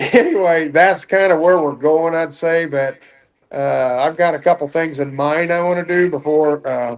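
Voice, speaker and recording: This man has an unremarkable speaking voice, fairly high in pitch, with fairly even intonation and a moderate pace. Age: 60s. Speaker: duck and goose call maker. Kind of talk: podcast interview.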